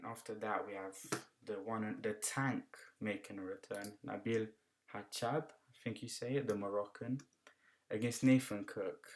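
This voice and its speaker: A man talks at a moderate pace and a medium pitch in a British accent. His intonation is fairly even, his loudness swings widely, and he takes long, frequent pauses. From UK. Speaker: kickboxing analyst. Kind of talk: fight predictions commentary. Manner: casual, conversational.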